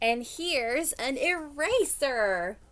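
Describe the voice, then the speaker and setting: A woman puts on a character voice with a high pitch. Her tone is cheerful. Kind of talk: children's story reading. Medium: read story. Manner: eager, cheerful.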